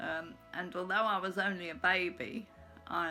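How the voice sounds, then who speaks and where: A woman speaks with an English accent and ordinary pitch variation. Music plays in the background. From England. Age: 80s+. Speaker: blogger. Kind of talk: casual talk to camera.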